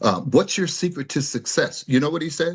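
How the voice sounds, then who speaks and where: A man speaks with vocal fry. Behind him the background is quiet. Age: 70s. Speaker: community advocate and political organizer. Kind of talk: panel discussion interview. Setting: virtual video call. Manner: hesitant, with repeated fillers.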